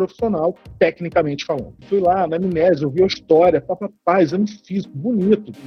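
At a fairly quick pace with hardly any pauses, a man speaks in a high pitch with ordinary pitch variation. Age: 30s. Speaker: family doctor. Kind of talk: casual chat.

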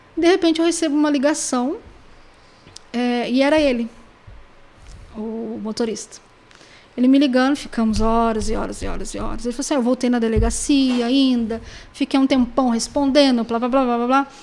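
Pausing long and often, a woman talks with a high pitch and fairly even intonation. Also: moderate pace. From Brazil, São Paulo state (Pindamonhangaba). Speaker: private detective and necropsy technician. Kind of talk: podcast interview. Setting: studio.

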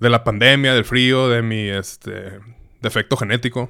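A man with a Mexican accent speaks at a medium pitch in a bright, sharp tone. His intonation is monotone and flat, on a very clean recording with a silent background. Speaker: podcast host. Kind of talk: casual solo monologue.

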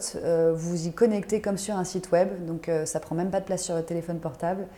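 A woman with a dark, mellow tone and a fairly low pitch speaks at a fairly quick pace in a flat monotone. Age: 30s. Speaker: startup founder and yoga teacher. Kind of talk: interview.

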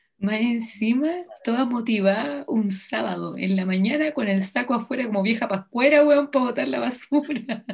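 At a moderate pace, a woman with an ordinary speaking voice talks at a fairly high pitch with lively intonation. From Chile. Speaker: podcast host. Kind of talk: casual chat.

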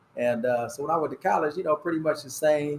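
An ordinary speaking voice with an American accent, moving at a fairly quick pace with fairly even intonation. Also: man. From Fort Wayne, Indiana. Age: 50s. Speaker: high school basketball coach. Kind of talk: casual chat. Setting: cigar lounge.

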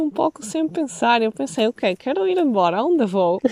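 Her pitch is fairly high for a woman. It swings very widely. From Italy, Venice. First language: Italian (speaking Portuguese). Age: 30s. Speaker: nomadic woman sharing life experience. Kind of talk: interview. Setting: outdoors by a lake.

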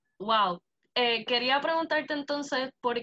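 The woman's pitch varies in an ordinary way, and she keeps to a moderate pace. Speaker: youth organization president and podcast host. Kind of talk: interview. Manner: halting, with fillers.

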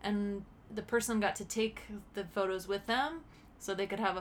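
A plain, everyday voice from a woman, medium in pitch, with ordinary pitch variation and a fairly quick pace. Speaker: podcast co-host.

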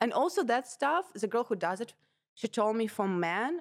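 The recording is very clean, with a silent background. A woman speaks at a moderate pace with a Russian accent. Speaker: comedian and podcast co-host. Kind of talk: casual chat. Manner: animated.

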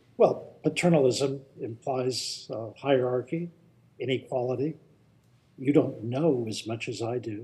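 At a fairly slow pace, a man speaks with a medium pitch, ordinary pitch variation, and a dark, mellow, somewhat breathy tone. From Indianapolis. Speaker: author and anthropologist. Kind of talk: live Q&A. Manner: verbose.

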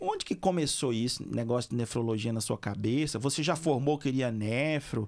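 A man talks in an ordinary speaking voice at a medium pitch, with ordinary pitch variation. He keeps a moderate pace and very even loudness, with hardly any pauses. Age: 40s. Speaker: veterinary surgeon and podcast host. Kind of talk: casual interview.

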